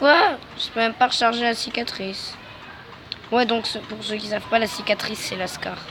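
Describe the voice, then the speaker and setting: Noticeable noise sits behind the speech, which moves at a moderate pace. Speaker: gaming youtuber. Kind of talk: gameplay commentary. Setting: public place. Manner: soft-spoken.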